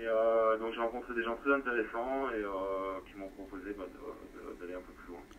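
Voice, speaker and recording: Hardly pausing, a man speaks at a moderate pace and medium pitch with fairly even intonation and big swings in loudness. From France. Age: 40s. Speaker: amateur radio operator. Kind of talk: amateur radio contact. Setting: radio transmission. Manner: halting.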